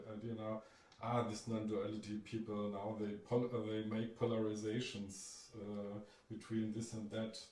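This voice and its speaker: A man with a German accent, fairly low in pitch, fairly slow and monotone with flat intonation, amid audible room echo and noticeable background noise. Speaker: meeting participant. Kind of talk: live group dialogue. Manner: halting.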